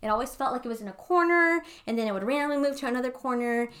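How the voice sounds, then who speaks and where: In a very clean recording with a silent background, a woman's fairly high voice carries a bright, sharp tone and lively intonation. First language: not English. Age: 20s. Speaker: podcast co-host. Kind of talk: casual chat.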